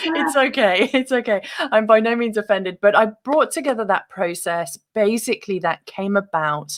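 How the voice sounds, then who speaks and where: A woman speaks in a British accent at a fairly high pitch and a moderate pace, with lively intonation. There are hardly any pauses, and the sound is dry and close with no echo. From UK. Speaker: author and meditation guest. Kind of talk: interview.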